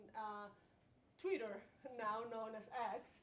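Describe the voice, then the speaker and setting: Audible room echo surrounds a woman speaking with a Spanish accent. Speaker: pedestrian advocate. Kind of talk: presentation at community meeting.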